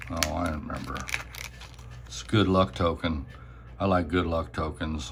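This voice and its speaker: Very deep, low male speech with vocal fry at a fairly slow pace. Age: 60s. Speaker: coin and token collector. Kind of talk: show-and-tell video. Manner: casual, halting with fillers.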